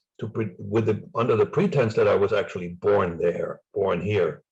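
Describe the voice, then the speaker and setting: Speaking at a moderate pace, a man talks with a slight German accent. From East Germany. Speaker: former spy and author. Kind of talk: interview. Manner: halting.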